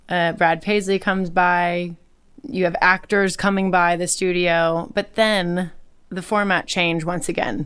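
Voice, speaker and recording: A woman with an unremarkable speaking voice and a fairly low pitch talks at a fairly slow pace with fairly even intonation, in a very clean recording with a silent background. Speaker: podcast host and singer. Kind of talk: casual interview chat. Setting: outdoors on a beach in Mexico for the intro.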